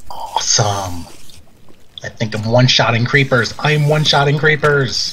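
There is noticeable background noise as a man speaks at a fairly high pitch with ordinary pitch variation. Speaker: gaming youtuber. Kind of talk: casual gameplay commentary. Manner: animated; fast talker.

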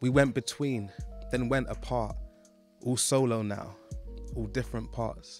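With music in the background, a man speaks at a fairly slow pace, taking long, frequent pauses. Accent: London. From London. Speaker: poet. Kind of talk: spoken word poetry. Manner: rhythmic.

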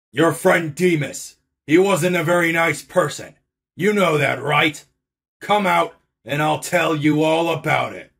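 A man puts on a raspy character voice pitched fairly high. He speaks at a fairly slow pace. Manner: cold, curt.

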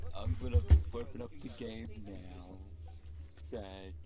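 Loud background noise sits behind a man using a put-on character voice. His pitch is very deep and low, and his pace is fairly slow. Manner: playful, joking.

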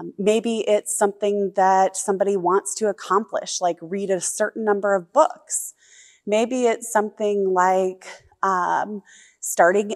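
A woman talks at a very slow pace with a quiet background behind her. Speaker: pastor. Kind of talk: sermon. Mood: warm, reflective. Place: church. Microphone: lapel.

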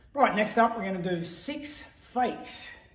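A man's voice with audible room echo. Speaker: martial arts coach. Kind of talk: tutorial. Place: gym. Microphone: camera far.

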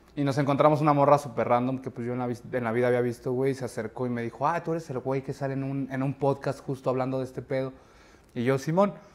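Talking at a very fast pace, a man with a medium pitch keeps his intonation fairly even. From Mexico City. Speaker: actor and film director; actor. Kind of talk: casual interview. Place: studio. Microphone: lapel.

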